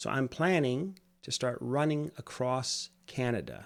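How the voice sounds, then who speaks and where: This is a man with an unremarkable speaking voice at medium pitch and with ordinary pitch variation, in a very clean recording with a silent background. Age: 60s. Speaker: vlogger. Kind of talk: casual vlog monologue. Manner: lightly humorous, conversational.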